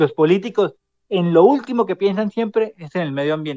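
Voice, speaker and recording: This man talks at a moderate pace with lively intonation. The sound is dry and close, with no echo. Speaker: city councillor and student leader. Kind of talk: casual chat.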